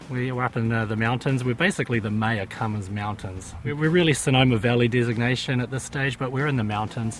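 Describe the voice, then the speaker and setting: A man with a New Zealand accent, medium pitch, ordinary pitch variation and a very fast pace, with music in the background. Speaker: winemaker. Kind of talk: interview.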